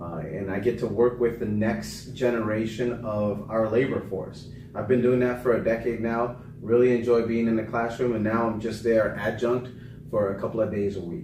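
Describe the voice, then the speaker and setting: A medium-pitched male voice at a moderate pace and fairly even intonation, with audible room echo and noticeable background noise. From Panama, raised in US from age five. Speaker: political candidate and navy veteran. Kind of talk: interview.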